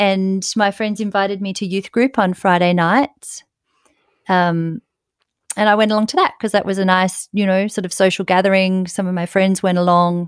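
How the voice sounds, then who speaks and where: A woman's medium-pitched voice at a moderate pace, fairly even in intonation, dry and close with no echo, on a very clean recording with a silent background. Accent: Australian. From Australia, south coast of New South Wales. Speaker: emergency physician. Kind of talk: interview.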